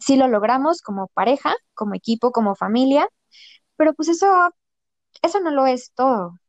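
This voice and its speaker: A woman with a high voice and lively intonation speaks with long, frequent pauses, in a dry, close sound with no echo. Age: 30s. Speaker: saleswoman. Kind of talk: personal testimony in casual interview.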